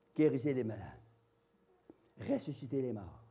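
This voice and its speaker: In a room with audible echo, a man with a dark, mellow tone and medium pitch talks at a fairly slow pace with ordinary pitch variation. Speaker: evangelist preacher. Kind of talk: sermon testimony. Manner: loud; animated.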